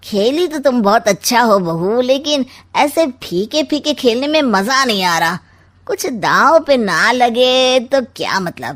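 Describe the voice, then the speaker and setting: In a cartoonish character voice, a woman talks at a fairly slow pace with high pitch and lively intonation, captured in a very clean recording with a silent background. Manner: sly, mocking, gloating.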